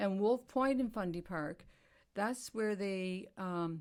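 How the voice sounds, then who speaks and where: With a Canadian Maritime accent, a woman speaks at a medium pitch in a very clean recording with a silent background. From New Brunswick, Canada. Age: 70s. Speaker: retired middle school teacher. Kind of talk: casual chat.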